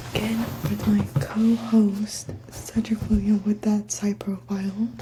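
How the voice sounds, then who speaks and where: Noticeable background noise is present. The delivery moves at a fairly slow pace. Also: woman. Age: young. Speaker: podcast host. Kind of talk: casual chat. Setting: college study room. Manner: quiet.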